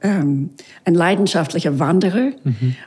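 Someone with an English accent speaks at a fairly slow pace. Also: woman. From US, Miami. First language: English (speaking German). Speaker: violinist. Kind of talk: casual interview. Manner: halting.

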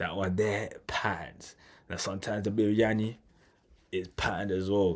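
This man speaks with a London accent. His pitch sits fairly low. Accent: London multicultural English. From London, Tanzanian family. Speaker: podcast host. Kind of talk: casual monologue.

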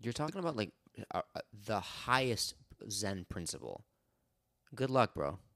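A man talks with very wide pitch swings, a bright, sharp tone and vocal fry, sounding playful. He leaves long, frequent pauses, and the sound is dry and close with no echo. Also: medium pitch for a man, moderate pace. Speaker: podcast co-host. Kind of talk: casual chat. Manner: joking, playful.

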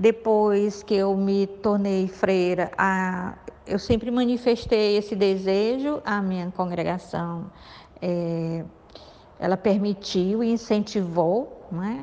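A woman with a medium pitch speaks very slowly, her intonation fairly even. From Piauí, Brazil. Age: 50s. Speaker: nun and social worker. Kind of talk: interview. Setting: recorded audio message.

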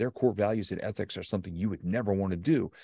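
Very fast and with ordinary pitch variation, a man speaks in a dark, mellow tone, the sound dry and close with no echo on a very clean recording with a silent background. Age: 50s. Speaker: motivational speaker and author. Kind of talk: interview.

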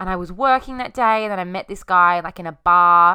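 With an Australian accent, a woman speaks at a medium pitch in a bright, sharp tone on a very clean recording with a silent background. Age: 20s. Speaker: podcast host. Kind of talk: casual monologue.

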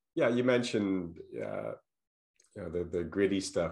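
The speaker is a man talking at a fairly quick pace. The background is quiet. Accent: American. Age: 60s. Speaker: podcast host. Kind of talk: casual interview. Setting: video call. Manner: hesitant, many fillers.

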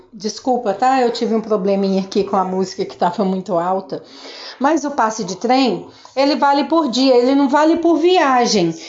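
There is noticeable background noise as a woman speaks at a moderate pace. Her pitch swings very widely. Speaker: English teacher. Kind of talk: casual monologue talk to students.

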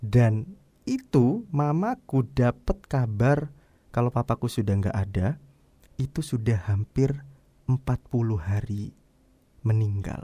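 A man speaks at a very slow pace with long, frequent pauses, his tone dark and mellow and somewhat breathy. The sound is dry and close with no echo, and his pitch varies in an ordinary way. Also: medium pitch for a man. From East Java (Surabaya/Sidoarjo). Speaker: podcaster. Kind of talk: personal storytelling monologue. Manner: casual, with filler hesitations.

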